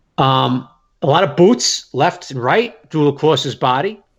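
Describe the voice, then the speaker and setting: Here a man talks at a medium pitch, sounding somewhat breathy. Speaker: sports beat writer. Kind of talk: casual chat.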